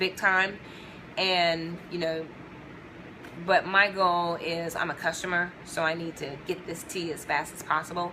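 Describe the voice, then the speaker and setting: This soft-spoken voice moves at a fairly slow pace, monotone and flat, with big swings in loudness. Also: woman, fairly low pitch for a woman. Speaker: video blogger sharing customer experience. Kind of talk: casual talk to camera answering questions. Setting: at home. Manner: soft-spoken, talking low.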